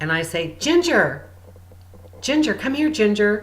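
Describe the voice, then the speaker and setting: A woman at medium pitch moves through very wide pitch swings. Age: 60s. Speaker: spiritual healer and channel. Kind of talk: spiritual guidance talk.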